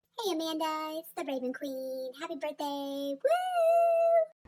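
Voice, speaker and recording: A woman puts on a squeaky character voice at an extremely high pitch. She keeps a fairly slow pace and fairly even intonation. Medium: game stream.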